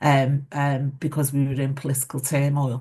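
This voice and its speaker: A somewhat breathy voice in a Liverpool accent, at a moderate pace against a quiet background. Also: woman. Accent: Scouse. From Liverpool, northern England. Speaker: former mayor. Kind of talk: panel discussion.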